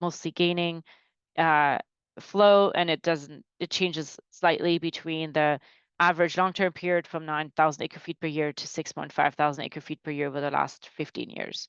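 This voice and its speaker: Over a quiet background, a woman speaks at a moderate pace with a fairly low pitch and fairly even intonation, the sound dry with no echo. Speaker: groundwater modeling presenter; presenter. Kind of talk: technical webinar presentation. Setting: online webinar. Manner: hesitant, many fillers and restarts. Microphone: webcam.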